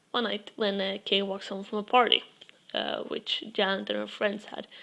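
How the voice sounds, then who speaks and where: A woman with a non-native accent. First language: not English. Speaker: book reviewer. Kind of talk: casual book review monologue. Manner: halting, with fillers.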